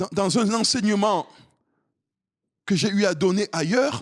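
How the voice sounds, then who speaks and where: On a very clean, silent-background recording with a dry, close sound and no echo, a man speaks at a fairly slow pace in a high voice. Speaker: pastor. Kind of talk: sermon. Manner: loud.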